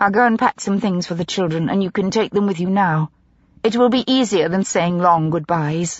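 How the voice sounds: The voice is a natural reading voice, and its pitch varies in an ordinary way.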